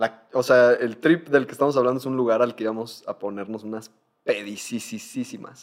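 At medium pitch and a moderate pace, a man with a Mexican accent speaks with ordinary pitch variation. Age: 20s. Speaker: podcast host. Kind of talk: casual chat.

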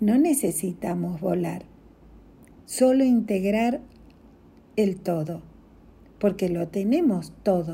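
A woman speaks very slowly at a medium pitch with a dark, mellow tone. Her voice is somewhat breathy, with long, frequent pauses. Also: lively intonation. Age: 60s. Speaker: spiritual coach. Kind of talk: inspirational reflection.

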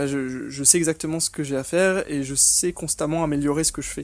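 This man has an ordinary speaking voice with fairly high pitch. He keeps a moderate pace and fairly even intonation. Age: 20s. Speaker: online business operations manager. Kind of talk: interview.

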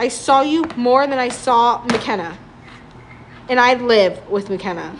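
A woman with a high pitch and ordinary pitch variation speaks at a very slow pace with long, frequent pauses, against noticeable background noise. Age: 20s. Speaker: podcast co-host. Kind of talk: casual chat.

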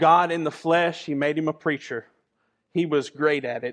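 In an animated tone, a man speaks with a high voice. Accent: American. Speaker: pastor. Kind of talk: sermon. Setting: church.

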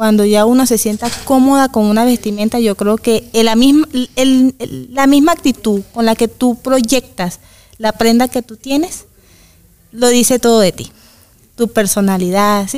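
Dry and close with no echo, a woman with a plain, everyday voice speaks at a fairly slow pace in a fairly high pitch with ordinary pitch variation. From Venezuela, Valencia, Carabobo. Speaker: migrant woman, mother. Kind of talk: interview conversation.

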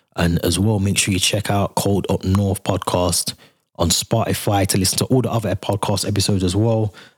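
In a very clean recording with a silent background, a man with a fairly low pitch speaks fairly quickly, somewhat breathy, with very even loudness and monotone, flat intonation. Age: 30s. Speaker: podcast host. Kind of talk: casual solo commentary.

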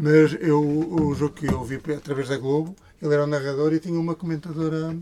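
A man speaking at a fairly quick pace, his pitch fairly high and his intonation fairly even, over noticeable background noise. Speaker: podcast co-host. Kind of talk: casual chat.

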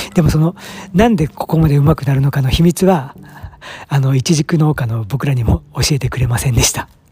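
Noticeable background noise behind a man's fairly high voice at a fairly quick pace. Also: ordinary pitch variation. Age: 40s. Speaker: fig farmer and podcaster. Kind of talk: casual solo monologue. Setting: outdoors at the farm.

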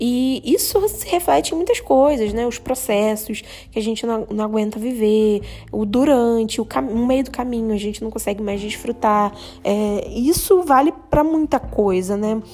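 This speaker, with a Brazilian accent, talks at a fairly slow pace in a dark, mellow tone with lively intonation. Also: woman, fairly high pitch for a woman. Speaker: podcast host. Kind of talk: solo podcast monologue. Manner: casual, with many filler hesitations.

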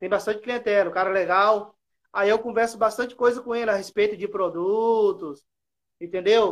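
The man's intonation stays fairly even. He keeps a moderate pace. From Espírito Santo, Brazil. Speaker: novice barber. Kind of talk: casual chat.

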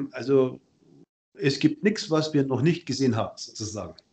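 The man's voice has a dark, mellow tone and sits at a medium pitch. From Bavaria, Ingolstadt. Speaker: tax advisor. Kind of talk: casual interview.

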